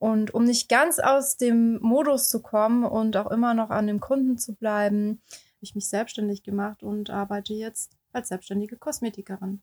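The woman has an ordinary speaking voice with a fairly high pitch and a moderate pace. Her sound is dry and close with no echo. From Baden-Württemberg, southwestern Germany. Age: 30s. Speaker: beautician and illustrator, podcast co-host. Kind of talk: casual podcast introduction.

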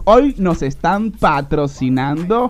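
Music plays in the background as a man talks at a very slow pace. His pitch sits high for a man and swings very widely. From Venezuela. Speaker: radio host. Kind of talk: live radio show. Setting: studio. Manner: animated.

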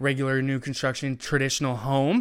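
In a very clean recording with a silent background, a man with an American accent uses an ordinary speaking voice at medium pitch and a fairly quick pace. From Eastern Washington, US. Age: 20s. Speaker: 3D printing entrepreneur. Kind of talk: interview. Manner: casual, many filler words.

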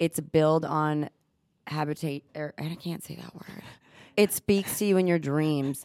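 A woman speaks with a very deep, low pitch at a fairly slow pace, her intonation fairly even. Her loudness swings widely, and the sound is dry and close, with no echo. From Texas, born in Israel. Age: 30s. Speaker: cosmetic injector, podcast co-host. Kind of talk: casual chat.

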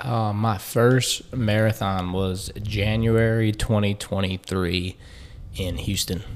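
Speaking very slowly in a Louisiana accent, a man keeps a fairly low pitch and fairly even intonation. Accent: Louisiana Southern US. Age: 20s. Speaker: personal trainer and ex-college football player. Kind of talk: interview.

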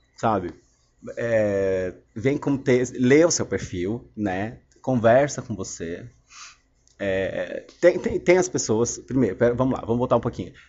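At a fairly slow pace, a man speaks at a medium pitch with lively intonation and long, frequent pauses. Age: 30s. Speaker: podcaster. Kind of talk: casual monologue. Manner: halting.

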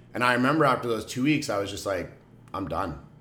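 A man talks with lively intonation. Room echo can be heard around his voice. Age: 30s. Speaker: podcast co-host. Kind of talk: casual chat.

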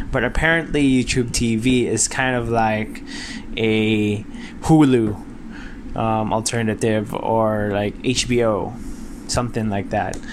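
Pitched in the middle range, a man talks with ordinary variation while noticeable noise fills the background. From Philippines, Mindanao. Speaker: tech podcaster. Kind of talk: casual monologue. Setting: home bedroom. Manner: halting, many fillers.

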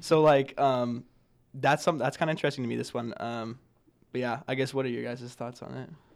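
With an American accent and a plain, everyday voice, a man speaks at a fairly quick pace with fairly even intonation. His loudness swings widely in a very clean recording with a silent background. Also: medium pitch for a man. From Nebraska. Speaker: college student. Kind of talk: casual chat.

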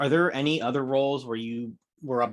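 A man with an American accent talks in an unremarkable speaking voice at a moderate pace with ordinary pitch variation, against a quiet background. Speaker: horror podcast co-host. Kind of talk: casual interview chat.

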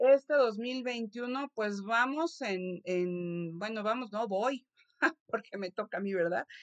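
A woman with a Mexican accent at a very slow pace, ordinary pitch variation, and a dry, close sound with no echo. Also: fairly high pitch for a woman. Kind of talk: interview. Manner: halting, frequent word repetitions.

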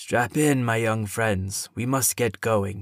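A put-on character voice at a fairly slow pace, on a very clean recording with a silent background. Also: man. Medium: read story. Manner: calm, formal, old-fashioned.

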